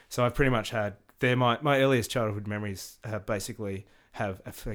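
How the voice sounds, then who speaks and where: On a very clean recording with a silent background, a man speaks fairly quickly in a fairly low voice with an Australian accent and fairly even intonation. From Tasmania, Australia (Hobart). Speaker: rock musician. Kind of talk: casual chat.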